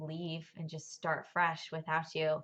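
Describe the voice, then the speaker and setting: A woman's very deep, low pitch with a bright, sharp tone and monotone, flat intonation. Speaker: churchgoer sharing her testimony. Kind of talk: testimony. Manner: hesitant, many fillers.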